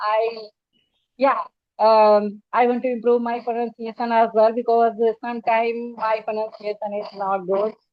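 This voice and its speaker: A woman speaks in a fairly high pitch with an Indian accent. Her moderate-paced delivery has monotone, flat intonation. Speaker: spoken English teacher. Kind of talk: casual conversation interview. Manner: halting with fillers.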